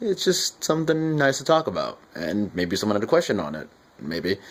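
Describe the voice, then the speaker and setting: Lively intonation at a fairly quick pace. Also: man. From US, adopted from Guatemala as a child. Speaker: YouTuber. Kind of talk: casual vlog talk. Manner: halting.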